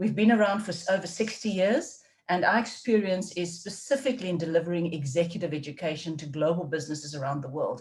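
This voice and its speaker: A woman with a South African accent talks at a very fast pace with hardly any pauses. Her voice is fairly low in pitch and somewhat breathy, with lively intonation. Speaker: leadership development faculty, webinar host. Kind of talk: webinar presentation.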